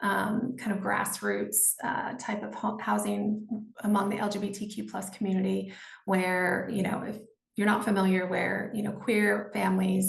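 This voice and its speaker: Amid audible room echo, a woman speaks at a moderate pace with monotone, flat intonation and vocal fry. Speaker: nonprofit executive director. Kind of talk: panel discussion. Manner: hesitant, many fillers.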